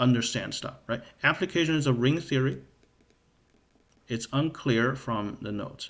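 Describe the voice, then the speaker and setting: At a fairly slow pace, a man with a non-native accent speaks at a medium pitch with ordinary pitch variation. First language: not English. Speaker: math livestreamer. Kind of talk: livestream study session. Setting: live stream. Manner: hesitant, many fillers.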